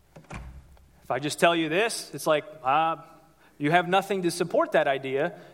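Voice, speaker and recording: A man with an American accent, high pitch and a fairly slow pace. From Ohio, US Midwest. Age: 30s. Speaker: pastor. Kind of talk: sermon. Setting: church with congregation. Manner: animated.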